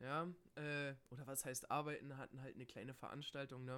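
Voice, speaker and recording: A man speaks at medium pitch and a moderate pace. His bright, sharp tone stays monotone and flat. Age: 20s. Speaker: podcast co-host, student. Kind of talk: casual chat.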